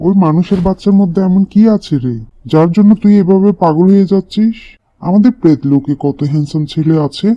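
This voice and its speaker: A man uses a cartoonish character voice pitched high. He talks at a moderate pace. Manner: theatrical, boastful.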